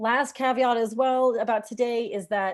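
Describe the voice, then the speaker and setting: A woman speaks with a fairly high voice. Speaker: nonprofit staff member leading a policy call. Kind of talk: online meeting presentation. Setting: video call. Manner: fast.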